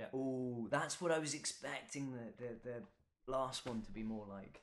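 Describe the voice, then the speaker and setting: A man speaks with a London accent at a fairly slow pace, his medium-pitched voice showing ordinary pitch variation. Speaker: beer taster. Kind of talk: casual chat.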